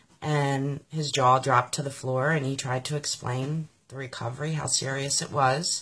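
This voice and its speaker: A woman with an American accent speaks at a moderate pace in a very deep, low pitch, her intonation monotone and flat, with hardly any pauses and noticeable background noise. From US, Pennsylvania (Philadelphia area). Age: 40s. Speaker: political supporter sharing her story. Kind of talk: personal testimony.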